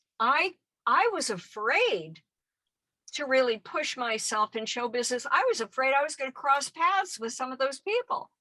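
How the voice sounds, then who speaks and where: A woman's raised, projected voice, high and bright with a sharp tone, with very wide pitch swings at a moderate pace in a dry, close sound with no echo. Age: 70s. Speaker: activist and former actress. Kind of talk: interview.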